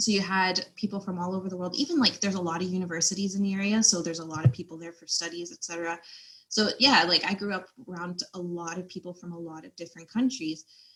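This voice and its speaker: A woman with an American accent talks at a very fast pace, with ordinary pitch variation and big swings in loudness. Noticeable background noise is present. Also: medium pitch for a woman. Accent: American-sounding. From Belgium, outskirts of Brussels. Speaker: podcast guest, pastor's kid. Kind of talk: casual chat. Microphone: poor audio mix, no working microphone.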